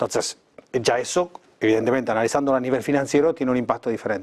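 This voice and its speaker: This man speaks with an Argentine accent. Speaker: geopolitics expert. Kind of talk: TV interview.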